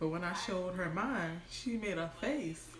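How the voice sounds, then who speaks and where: Audible room echo around a woman's fairly low voice, animated in tone, with lively intonation. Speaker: lifestyle vlogger. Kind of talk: casual livestream storytime. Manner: casual, animated.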